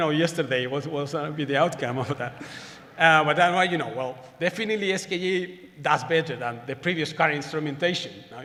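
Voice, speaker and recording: Amid audible room echo and noticeable background noise, a man with a high pitch talks at a fairly quick pace with ordinary pitch variation. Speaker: astronomer giving plenary talk. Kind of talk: conference lecture. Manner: fast; halting, many repetitions.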